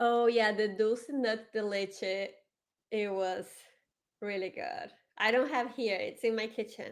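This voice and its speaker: In a Brazilian Portuguese accent, the speaker talks at a fairly slow pace with long, frequent pauses, in a very clean recording with a silent background. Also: woman, fairly high pitch for a woman, ordinary pitch variation. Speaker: community host and award judge. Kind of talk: live stream panel chat. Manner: talkative.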